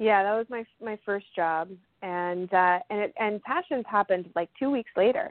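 A woman's medium-pitched, a normal speaking voice with an American accent, ordinary pitch variation and a moderate pace. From Las Vegas, Nevada. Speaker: soap opera actress. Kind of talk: casual interview.

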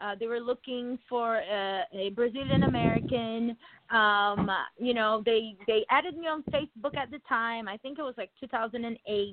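A woman speaks in a normal speaking voice at a moderate pace. Her pitch is fairly high, with ordinary pitch variation. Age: 40s. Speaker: former reality show contestant. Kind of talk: casual chat.

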